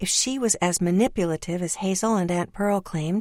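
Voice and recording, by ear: Text is being read out in a natural voice.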